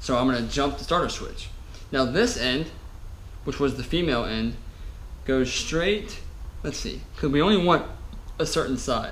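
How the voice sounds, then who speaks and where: A man at a moderate pace with long, frequent pauses, over light background noise. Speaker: motorcycle repair YouTuber. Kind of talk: tutorial. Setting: workshop. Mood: self-mocking, relaxed. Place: garage. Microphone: camera far.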